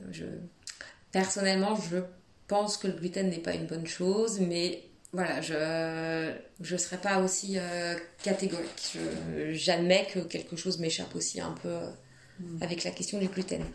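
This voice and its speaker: A woman's slow, monotone speech, fairly unhurried and flat, broken by long, frequent pauses amid noticeable background noise. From France, Nantes. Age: 30s. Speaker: asylum lawyer sharing illness story. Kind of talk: testimony. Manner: hesitant, many fillers.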